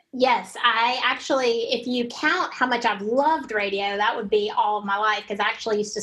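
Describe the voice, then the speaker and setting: Noticeable background noise sits behind a woman speaking with a Southern US accent. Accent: Southern American, noticeable. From US South. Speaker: former radio broadcaster, marketing consultant. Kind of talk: podcast interview.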